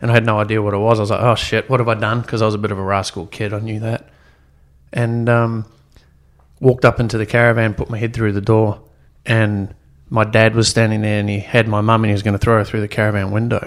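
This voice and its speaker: On a very clean recording with a silent background, a man with a New Zealand accent talks at a very fast pace in a fairly low pitch with monotone, flat intonation. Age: young. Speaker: entrepreneur. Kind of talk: casual chat.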